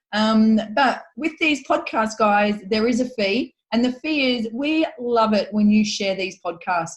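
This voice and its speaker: A woman with an Australian accent and a somewhat breathy, fairly high voice speaks at a fairly slow pace with ordinary pitch variation and hardly any pauses. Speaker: podcast co-host. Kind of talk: casual podcast chat.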